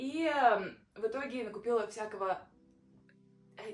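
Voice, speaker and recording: A woman is speaking. Her pitch sits fairly high. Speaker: vlogger. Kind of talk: casual vlog. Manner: halting.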